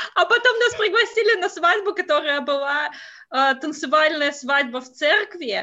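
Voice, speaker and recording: Raised and projected, a woman's extremely high, bright, sharp voice moves at a fairly slow pace with hardly any pauses, showing very wide pitch swings and big swings in loudness. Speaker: Russian expat wife. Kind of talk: casual chat. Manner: hesitant, many fillers.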